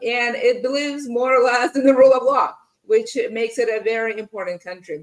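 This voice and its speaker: A woman speaks at a fairly quick pace in a high voice with ordinary pitch variation. She has a slight non-native accent. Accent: slight foreign. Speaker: podcast host, in-house lawyer. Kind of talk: interview podcast.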